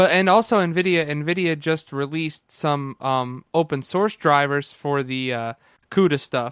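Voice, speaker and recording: An unremarkable speaking voice from a man with an American accent, fairly high pitch for a man, ordinary pitch variation, fairly slow pace, and a dry, close sound with no echo. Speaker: co-host, Linux enthusiast. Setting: live stream, online.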